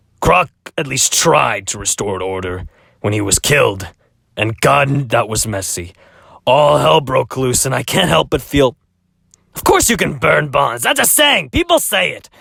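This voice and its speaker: A man puts on a character voice at a medium pitch. It sounds raspy and moves at a moderate pace. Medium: fan dub. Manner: rambling, self-distracted.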